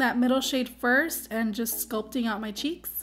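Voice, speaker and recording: A woman's high voice at a very fast pace, with fairly even intonation and music in the background. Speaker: makeup artist / beauty vlogger. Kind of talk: makeup tutorial narration.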